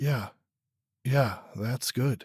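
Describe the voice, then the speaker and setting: This put-on character voice is raspy, with a dry, close sound and no echo. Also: man. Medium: audio drama.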